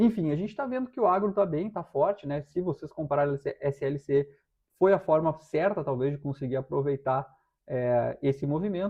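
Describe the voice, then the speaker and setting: A man with fairly high pitch speaks at a moderate pace with lively intonation. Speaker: stock market analyst. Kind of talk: technical analysis livestream. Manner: halting, many fillers.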